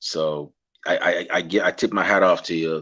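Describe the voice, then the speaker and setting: A man with a Guyanese accent and a bright, sharp tone against a quiet background. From Guyana. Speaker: podcast host. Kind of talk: interview. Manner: casual.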